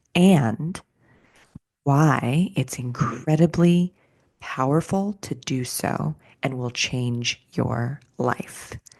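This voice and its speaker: A soft-spoken woman with a very deep, low pitch and lively intonation at a very slow pace. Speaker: somatics teacher and podcast host. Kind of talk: podcast monologue. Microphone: close to the mic.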